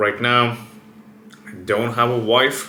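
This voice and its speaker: Animated in tone, a man speaks amid noticeable background noise and audible room echo. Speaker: fitness and biohacking YouTuber. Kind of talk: casual vlog monologue.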